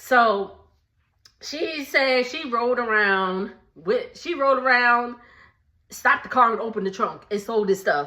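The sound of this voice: With a bright, sharp tone, a woman talks slowly at a fairly high pitch and with lively intonation.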